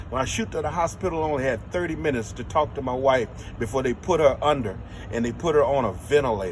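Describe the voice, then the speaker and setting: With an American accent, a man speaks at a very fast pace and a medium pitch. His intonation is lively, and there is noticeable background noise. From Los Angeles, US West Coast. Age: 60s. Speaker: filmmaker. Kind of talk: interview.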